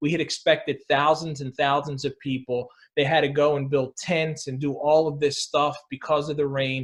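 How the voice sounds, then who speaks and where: Hardly pausing, a man with an American accent speaks at a moderate pace in a somewhat breathy, flat monotone at a fairly high pitch. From Philadelphia. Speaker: sports writer and radio host. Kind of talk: interview answer.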